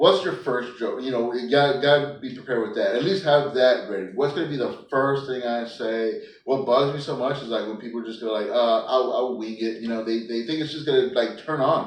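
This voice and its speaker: A man at a medium pitch with ordinary pitch variation and hardly any pauses, amid audible room echo and noticeable background noise. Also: fairly quick pace. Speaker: stand-up comedian. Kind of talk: casual chat. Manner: mumbling.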